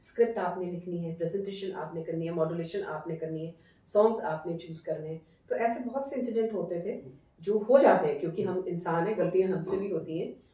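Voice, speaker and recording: A woman speaks at a moderate pace with a fairly low pitch and big swings in loudness. Noticeable background noise sits behind her. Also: ordinary pitch variation. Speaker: radio broadcaster. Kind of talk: interview answer.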